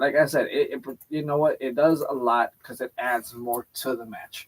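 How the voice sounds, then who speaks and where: A fairly high-pitched man's voice with a dry, close sound and no echo. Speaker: wrestling show host. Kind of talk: casual chat. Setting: live stream. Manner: fast.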